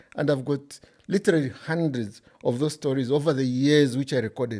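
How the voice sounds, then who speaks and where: A man with a Zambian accent, fairly high in pitch, with a dark, mellow tone and ordinary pitch variation. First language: Bemba. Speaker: author. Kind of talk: interview.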